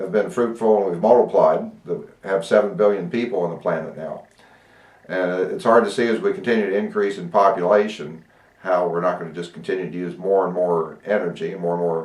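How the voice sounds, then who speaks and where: A man's fairly low voice with an American accent, fairly even intonation and a fairly quick pace. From Ohio, US Midwest. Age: 60s. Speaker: pastor. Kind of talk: interview. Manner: halting, many fillers.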